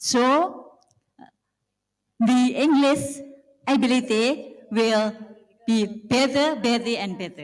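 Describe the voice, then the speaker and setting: A woman with a high pitch and an Indonesian accent, at a very slow pace. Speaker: school supervisor. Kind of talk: formal speech. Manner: halting.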